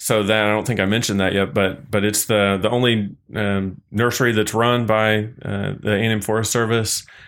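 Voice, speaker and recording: In an American accent, a man uses a normal speaking voice at a fairly low pitch and a moderate pace with hardly any pauses. His loudness stays very even and his intonation fairly even. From Missouri. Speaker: state forest service worker. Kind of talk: casual interview.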